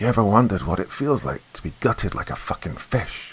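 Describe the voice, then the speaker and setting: Here a man uses a put-on, hissing character voice. He keeps a medium pitch and a fairly quick pace. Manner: hissing, menacing.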